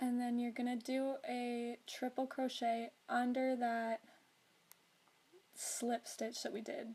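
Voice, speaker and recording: Quiet and very slow, a woman talks in a high pitch with a dark, mellow tone and monotone, flat intonation. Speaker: crocheter. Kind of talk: crochet tutorial narration.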